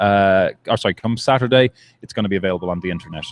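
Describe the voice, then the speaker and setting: A man speaks with an Irish accent. His pitch variation is ordinary. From Ireland. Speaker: soccer supporters' group representative. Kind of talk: casual interview. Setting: live at a brewery.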